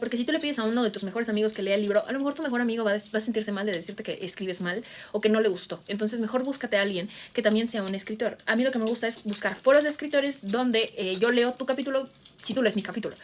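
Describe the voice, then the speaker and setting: A woman talks at a very fast pace with a fairly high pitch. Her tone is animated, with ordinary pitch variation. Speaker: booktuber and writer. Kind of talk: tutorial. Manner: casual, animated.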